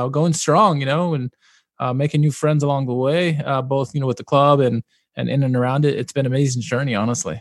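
A man's medium-pitched, fairly quick speech with fairly even intonation, in a Mid-Atlantic US accent over a quiet background. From Maryland, USA. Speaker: football podcaster and parks manager. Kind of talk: casual interview chat. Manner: halting, many fillers.

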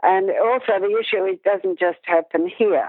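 A woman with an Australian accent at a moderate pace, with ordinary pitch variation. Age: 60s. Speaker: dressage instructor and judge. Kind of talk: interview conversation.

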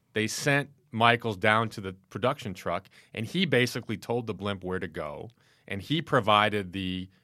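This is a man with a fairly low pitch and an ordinary speaking voice. The recording is very clean, with a silent background. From Chicago, US Midwest. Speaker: newspaper sportswriter. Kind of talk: casual chat.

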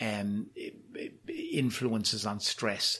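A man talks with a Cork accent. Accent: Cork Irish. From Ireland, Cork. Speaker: professor of psychiatry. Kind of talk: interview. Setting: on location at university. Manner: halting, repeats words.

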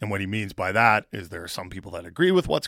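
A man with a Canadian accent is heard on a very clean recording with a silent background. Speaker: sports radio host. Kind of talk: morning sports radio show. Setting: studio.

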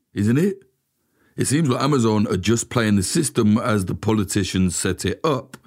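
A man with a British accent speaks with lively intonation in a very clean recording with a silent background. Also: medium pitch for a man, moderate pace. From UK. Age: 30s. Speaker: journalist and podcast host. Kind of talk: investigative narration.

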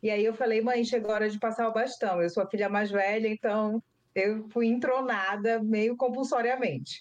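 A plain, everyday voice speaks at a moderate pace. Its loudness is very even and its intonation fairly even. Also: woman, fairly high pitch for a woman. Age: 30s. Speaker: cocoa farmer and lawyer. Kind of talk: interview. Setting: video call.

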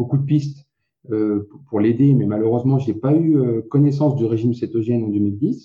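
Somewhat breathy and medium in pitch, a man speaks with fairly even intonation. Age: 40s. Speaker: keto diet website co-founder. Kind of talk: interview.

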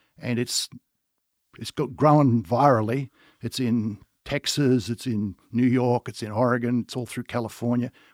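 At a moderate pace and with fairly even intonation, a man with an Australian accent speaks at a medium pitch, his voice dry and close with no echo on a very clean recording with a silent background. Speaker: winery owner. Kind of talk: casual chat.

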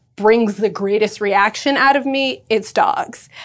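A woman speaks at a fairly slow pace. Her fairly high voice has ordinary pitch variation. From Los Angeles, US. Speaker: pet accessory brand founder. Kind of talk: casual chat.

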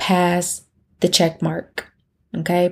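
A woman's somewhat breathy voice sits at a fairly low pitch with monotone, flat intonation. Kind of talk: faith-based solo podcast monologue. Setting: podcast recording, solo.

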